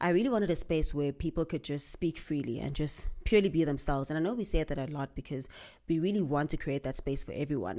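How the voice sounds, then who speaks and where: On a very clean recording with a silent background, a woman with a very deep, low pitch talks at a fairly quick pace in a dark, mellow tone. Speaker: podcast host. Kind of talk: casual monologue. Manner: fast.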